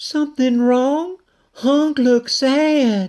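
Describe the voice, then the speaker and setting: Using a put-on character voice, the man pitches his speech extremely high. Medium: read story. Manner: soft, broken-English phrasing.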